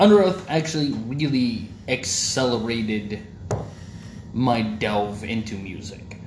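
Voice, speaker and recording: Over noticeable background noise, a man with an American accent speaks very slowly, his intonation lively. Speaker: podcast host. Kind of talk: casual banter podcast chat. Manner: profane, joking.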